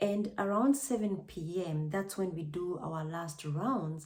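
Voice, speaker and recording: With a Kenyan accent, a woman speaks at medium pitch in a somewhat breathy voice. She goes at a fairly slow pace with lively intonation. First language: Kikuyu. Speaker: vlogger, nurse. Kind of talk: personal testimony vlog.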